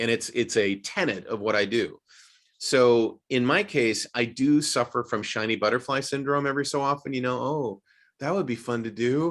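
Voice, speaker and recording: In an ordinary speaking voice, a man talks at a moderate pace with medium pitch and ordinary pitch variation. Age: 60s. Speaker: voice actor and acting coach. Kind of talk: casual chat.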